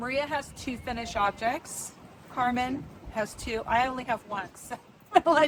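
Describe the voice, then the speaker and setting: A woman speaks loud, with a high pitch and ordinary pitch variation. Her pace is moderate. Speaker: knitting podcaster. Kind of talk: casual chat. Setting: outdoors on a river cruise boat.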